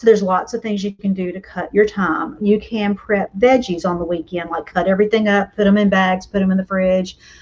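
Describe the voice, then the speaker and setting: Fairly even intonation with big swings in loudness, over noticeable background noise. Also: woman, medium pitch for a woman. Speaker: homeschool mom and online host. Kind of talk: casual live stream talk. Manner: chatty with fillers; fast.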